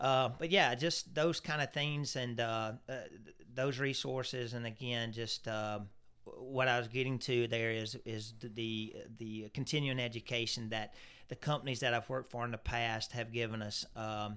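This man has a medium pitch, a bright, sharp tone and a Southern US accent, speaking at a moderate pace with fairly even intonation. The recording is very clean, with a silent background. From Louisiana. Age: 50s. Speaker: turf products sales rep. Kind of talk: casual interview.

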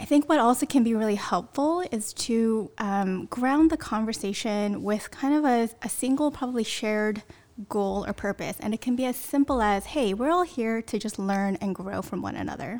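With a Californian accent, a woman speaks at a fairly high pitch with lively intonation and hardly any pauses. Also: moderate pace. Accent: Californian American. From US West Coast, Bay Area (Sunnyvale). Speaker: church member, race cohort participant. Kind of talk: casual chat.

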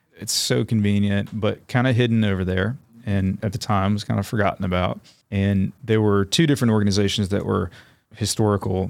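Using an ordinary speaking voice with an American accent, a man talks at a fairly quick pace and fairly low pitch with fairly even intonation. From North Carolina, Raleigh. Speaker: nature center CEO. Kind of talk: interview.

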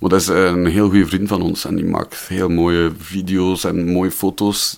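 A man with a very deep, low pitch, a slight West Flemish accent, monotone, flat intonation and a moderate pace. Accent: West Flemish dialect, toned down. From Belgium, West Flanders. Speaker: musician. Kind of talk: casual chat.

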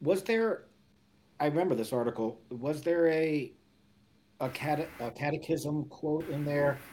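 This man has an American accent and a fairly high pitch with ordinary pitch variation. He speaks at a fairly slow pace, with long, frequent pauses. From Florida, US. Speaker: middle school theology teacher. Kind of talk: casual discussion on theology. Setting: online livestream.

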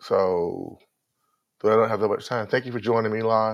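This is a man with a Southern US accent. His pitch is medium. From North Carolina. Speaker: podcast host. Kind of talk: motivational talk. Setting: live stream. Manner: faster than usual. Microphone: new headset.

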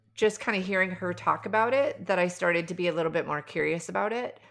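A woman's fairly low voice with an American accent, vocal fry and lively intonation. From US Midwest. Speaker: life coach and healer. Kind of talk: casual chat. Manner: engaging, passionate.

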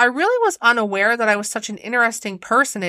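Lively intonation marks this clip of someone reading aloud in a natural voice.

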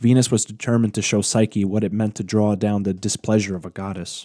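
A man speaks at a fairly low pitch and fairly quick pace, with a dark, mellow tone. The sound is dry and close with no echo, in a very clean recording over a silent background. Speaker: podcast host narrator. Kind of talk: dramatic storytelling narration, reading a myth aloud. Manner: expressive, theatrical, measured pacing.

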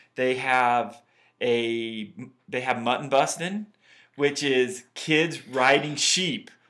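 With a Utah accent, a man speaks at a very slow pace in a medium pitch with ordinary pitch variation and a bright, sharp tone. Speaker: podcast host. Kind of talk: casual banter podcast chat.

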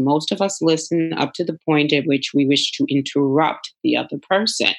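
A woman with an American accent talks at a moderate pace. Her voice is very deep and low, with ordinary pitch variation. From New York City (the Bronx). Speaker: conflict resolution coach. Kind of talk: interview.

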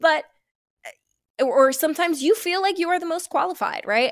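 A woman speaks with an American accent, the sound dry and close with no echo, on a very clean recording with a silent background. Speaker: podcast host. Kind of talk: casual chat.

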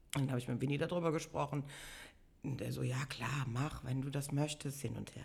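The voice has vocal fry, fairly even intonation and a fairly quick pace. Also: woman, very deep, low pitch for a woman. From Bonn-Beuel, Germany. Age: 50s. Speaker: carnival organizer and pub owner. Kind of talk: casual interview. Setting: in person at her home.

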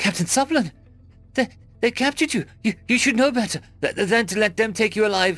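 A man's put-on character voice, high for a man, fairly bright in tone, with lively intonation, a fairly quick pace and faint music in the background

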